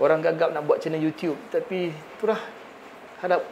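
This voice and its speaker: Noticeable background noise sits behind a man with a Malaysian accent. He talks at a fairly quick pace in a high pitch. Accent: Malaysian Malay. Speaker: YouTube video editing tutor. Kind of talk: tutorial. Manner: halting.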